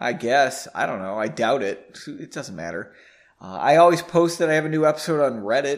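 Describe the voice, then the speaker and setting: A man's fairly high voice with vocal fry, lively intonation, a fairly quick pace and big swings in loudness. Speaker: podcast host and author. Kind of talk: reading aloud from own novel with chatty intro. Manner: fast talker, trips over words.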